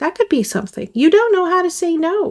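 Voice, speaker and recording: Her pitch swings very widely. This woman speaks at a moderate pace. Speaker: tarot reader. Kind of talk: tarot reading to camera. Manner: casual, conversational.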